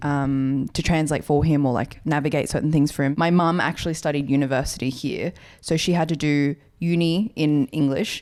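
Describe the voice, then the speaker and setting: A woman with an Australian accent talks at a moderate pace in a very deep, low pitch, with ordinary pitch variation. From rural New South Wales, Australia. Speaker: podcast co-host. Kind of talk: casual chat.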